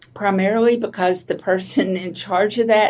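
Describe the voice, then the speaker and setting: A woman with an Arkansas accent speaks at a fairly slow pace. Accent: Arkansas Southern. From Arkansas, US South. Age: 70s. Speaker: author and entrepreneur. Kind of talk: interview conversation.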